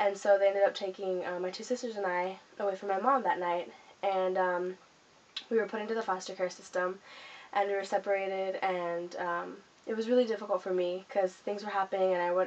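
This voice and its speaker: A woman speaks with an American accent at a fairly quick pace. Her intonation stays fairly even. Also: medium pitch for a woman. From Southern California. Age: 20s. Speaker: vlogger. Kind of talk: personal life story. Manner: hesitant, many fillers.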